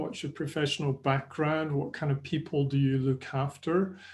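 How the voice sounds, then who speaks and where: A man with a Scottish accent speaks in a fairly high pitch, somewhat breathy, with fairly even intonation. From Scotland. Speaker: sports nutrition presenter. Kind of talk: webinar presentation. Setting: online webinar. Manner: conversational.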